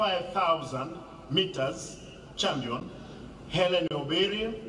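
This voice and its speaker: A man talks with a high pitch. There is audible room echo and light background noise. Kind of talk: formal ceremonial speech. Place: stadium. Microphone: podium.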